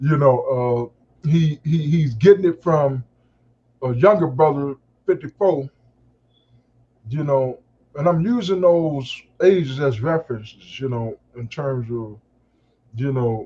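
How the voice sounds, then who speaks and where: A somewhat breathy man with a fairly high pitch and a dark, mellow tone speaks at a fairly slow pace, with long, frequent pauses, big swings in loudness and ordinary pitch variation. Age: 60s. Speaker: call-in participant in a live discussion. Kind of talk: casual group discussion. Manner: halting, many fillers.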